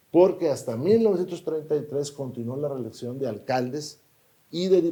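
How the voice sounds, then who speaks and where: Fairly quick and lively in intonation, the voice has a dark, mellow tone and is somewhat breathy. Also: man. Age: 60s. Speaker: politician. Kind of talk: interview.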